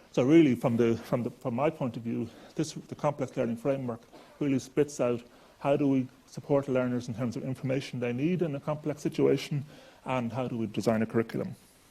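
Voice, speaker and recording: With an Irish accent, a man speaks at a fairly quick pace in a dark, mellow tone with fairly even intonation. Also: medium pitch for a man. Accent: Irish, noticeable. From Ireland. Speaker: chemistry professor. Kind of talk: lecture.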